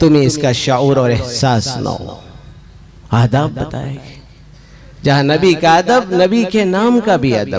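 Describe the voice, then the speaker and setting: In a plain, everyday voice, a man speaks with lively intonation. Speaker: Islamic scholar (mufti). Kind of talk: religious sermon (bayan).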